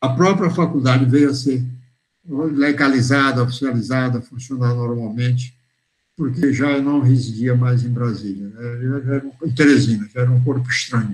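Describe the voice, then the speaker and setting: At a moderate pace, a man speaks in a somewhat breathy, medium-pitched voice with fairly even intonation. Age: 80s+. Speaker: retired professor and academy member giving a talk. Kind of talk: memoir lecture. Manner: halting, with self-corrections.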